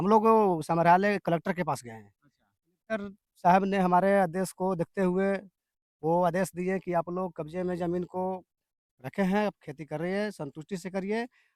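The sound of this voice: A man's high-pitched voice with a slightly mellow tone, fairly even intonation and a moderate pace, in a dry, close sound with no echo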